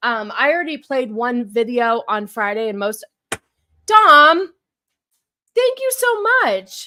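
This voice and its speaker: A woman's high-pitched, bright and sharp voice with an American accent, animated and lively in intonation, at a fairly slow pace. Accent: New York-like accent sometimes. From Huntington Beach, California. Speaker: live streamer. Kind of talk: casual live-stream chat. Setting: live stream.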